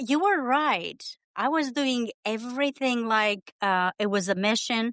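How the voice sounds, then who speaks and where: In a dry, close recording with no echo, a woman speaks at a fairly slow pace with a high pitch and lively intonation. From Romania. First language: Romanian. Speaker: immigrant writer, guest. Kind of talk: casual interview.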